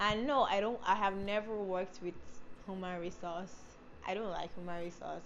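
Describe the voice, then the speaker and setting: Fairly even intonation from a woman at medium pitch, with audible room echo around her. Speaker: beauty and lifestyle vlogger. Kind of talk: casual vlog talk to camera. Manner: fast; rushed words, tongue slips.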